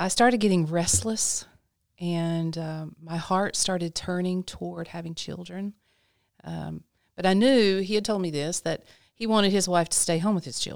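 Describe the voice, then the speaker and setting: A woman with an ordinary speaking voice, fairly low pitch, ordinary pitch variation and a moderate pace. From North Carolina. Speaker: ministry director. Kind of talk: casual chat.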